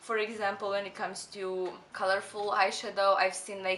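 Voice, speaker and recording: A woman's medium-pitched voice with a non-native accent at a moderate pace, over noticeable background noise. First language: not English. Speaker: beauty youtuber. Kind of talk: tutorial. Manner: casual, chatty.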